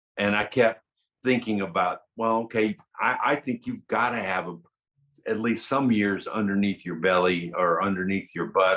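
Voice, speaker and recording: A man's fairly low pitch with fairly even intonation. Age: 60s. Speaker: artist. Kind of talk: interview. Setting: video call. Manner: halting.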